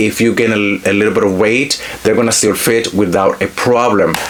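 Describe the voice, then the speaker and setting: Speaking at a fairly quick pace with a Spanish accent, the voice comes through noticeable background noise. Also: man. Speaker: fashion influencer. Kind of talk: product review haul. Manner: animated.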